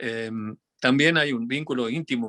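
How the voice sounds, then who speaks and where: Speaking at a fairly slow pace and a medium pitch, a man has a slight Tucumán accent. The sound is dry and close with no echo, and the background is quiet. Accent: Tucumán Argentine Spanish, some. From Argentina, Tucumán. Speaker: physicist and folk musician. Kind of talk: interview. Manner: halting, many fillers.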